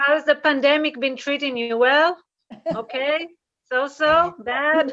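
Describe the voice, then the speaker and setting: A woman with an Israeli accent talks at a very slow pace in a high-pitched, bright, sharp tone with fairly even intonation. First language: Hebrew. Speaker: comedian. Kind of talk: stand-up.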